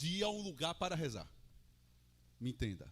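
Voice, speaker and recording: With an animated tone, a man speaks using very wide pitch swings. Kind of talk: sermon. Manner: loud; conversational, animated.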